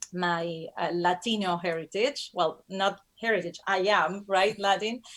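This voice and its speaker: A woman with a Spanish accent speaks fairly slowly at a medium pitch, with very even loudness and fairly even intonation. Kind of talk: interview. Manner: halting.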